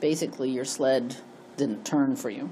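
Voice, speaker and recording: A woman with an American accent speaks in a dark, mellow tone. Audible room echo surrounds her voice. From Connecticut, US. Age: 60s. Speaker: memoir storyteller. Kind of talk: reading aloud personal memoir.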